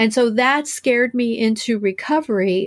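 A woman with a plain, everyday voice speaks at a fairly high pitch with ordinary variation. The recording is very clean, with a silent background. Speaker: author and writing coach in recovery. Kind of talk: interview.

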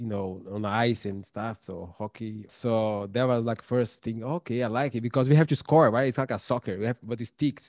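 A Portuguese accent with fairly even intonation, in a dry, close sound with no echo, on a very clean recording with a silent background. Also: man. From Brazil, São Paulo. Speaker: documentary filmmaker and tutor. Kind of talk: interview. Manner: halting, many fillers.

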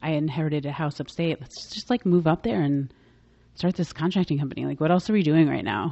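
Very fast delivery in an American accent, full of lively intonation. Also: woman, very deep, low pitch for a woman. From New York City (Manhattan, Bronx). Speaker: makeup artist and business owner. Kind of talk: interview conversation.

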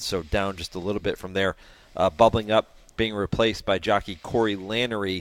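A man using a normal speaking voice keeps his intonation fairly even, his pitch fairly low and his pace moderate. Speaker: racing analyst. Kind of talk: casual analysis, reading race results and odds.

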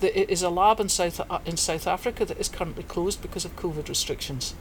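In a Scottish accent, a woman speaks at medium pitch and a very fast pace. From Scotland, Perthshire. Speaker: veterinarian. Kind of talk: casual interview. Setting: book and music shop.

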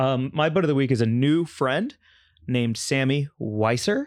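It's a plain, everyday voice: a man at medium pitch and moderate pace, on a very clean recording with a silent background and a dry, close sound with no echo. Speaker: comedian and podcast co-host. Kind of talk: casual chat.

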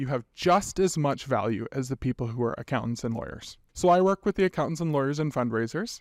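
In a plain, everyday voice with a Canadian accent, a man talks at a fairly quick pace with hardly any pauses, lively intonation and fairly high pitch, on a very clean recording with a silent background. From western Canada (British Columbia). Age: 30s. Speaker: nonprofit executive director. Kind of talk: interview.

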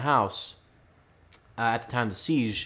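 The speech comes at a fairly quick pace with ordinary pitch variation. The recording is very clean, with a silent background. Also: man. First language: not English. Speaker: podcast host. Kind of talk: casual chat. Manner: rambling, halting.

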